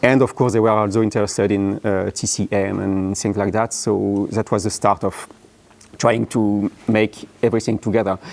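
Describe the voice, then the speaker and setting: At a moderate pace, a man speaks in a fairly low pitch with a monotone, flat intonation. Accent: strong French. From France. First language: French. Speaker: app founder and conference speaker. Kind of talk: conference talk. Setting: conference room with live audience. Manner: halting, many fillers.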